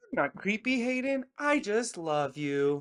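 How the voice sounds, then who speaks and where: A put-on character voice, fairly high in pitch, moves through very wide pitch swings at a fairly slow pace. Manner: creepy, eerily sweet.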